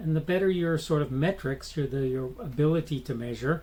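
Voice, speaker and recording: Speaking at a fairly quick pace, a man with an American accent has a fairly high pitch and ordinary pitch variation. His tone is dark and mellow, and somewhat breathy. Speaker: podcast host. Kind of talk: solo commentary podcast. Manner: halting, many fillers and restarts.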